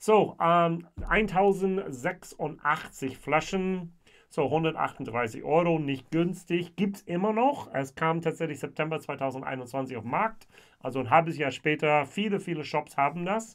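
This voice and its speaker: Over a quiet background, a man speaks at a very slow pace with ordinary pitch variation. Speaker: whisky reviewer. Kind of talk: casual tasting review. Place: home room.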